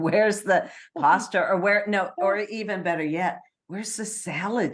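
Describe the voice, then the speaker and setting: At a moderate pace, a woman speaks with a medium pitch and ordinary pitch variation, a plain, everyday voice. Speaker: podcast host. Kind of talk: podcast interview talk.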